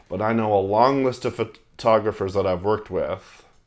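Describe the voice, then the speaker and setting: Against a quiet background, a man with a Canadian accent and an ordinary speaking voice talks at a moderate pace, fairly low in pitch, with ordinary pitch variation. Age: 20s. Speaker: wedding videographer. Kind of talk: casual chat. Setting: studio.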